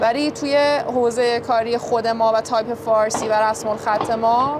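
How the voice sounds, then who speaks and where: A woman speaks in a high voice with fairly even intonation. Noticeable background noise is present. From Iran, Azeri family. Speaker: type designer and 3D artist. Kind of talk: interview.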